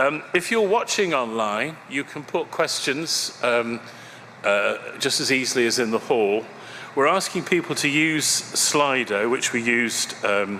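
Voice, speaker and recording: A man at medium pitch and a fairly slow pace, with noticeable background noise and audible room echo. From Birmingham, England. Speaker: conference chair. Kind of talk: conference opening remarks. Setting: conference hall with audience. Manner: hesitant, many fillers and repeats.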